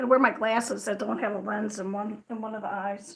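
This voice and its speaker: Speaking at a fairly quick pace with a plain, everyday voice, a woman with an American accent keeps a fairly high pitch and fairly even intonation. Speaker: crochet livestreamer. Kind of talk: casual livestream chat. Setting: livestream. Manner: fast.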